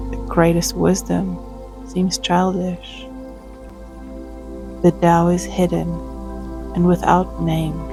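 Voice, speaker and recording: Soft-spoken, calm-toned speech at a very slow pace with long, frequent pauses, and music in the background. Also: woman. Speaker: tai chi and qigong teacher. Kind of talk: soft meditative reading of scripture over practice. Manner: soft, calm, slow.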